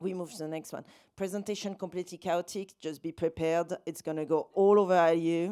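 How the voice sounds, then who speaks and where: With a French accent, a woman speaks at a fairly quick pace in a dark, mellow tone and monotone, flat intonation on a very clean recording with a silent background. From France, south (Valence). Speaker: documentary filmmaker. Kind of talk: festival talk with slide presentation. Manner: casual, chatty with many fillers.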